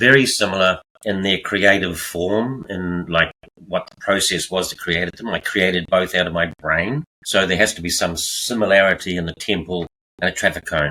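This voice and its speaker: A man with a very deep, low pitch and a bright, sharp tone, at a moderate pace with ordinary pitch variation. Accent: New Zealand. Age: 70s. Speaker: artist, retiree. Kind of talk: interview.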